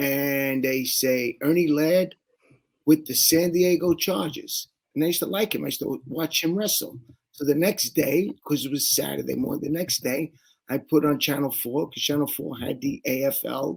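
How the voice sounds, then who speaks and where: With a New York accent, a man speaks at a moderate pace in a fairly high voice with ordinary pitch variation. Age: 60s. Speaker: sports fan guest. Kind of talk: interview storytelling.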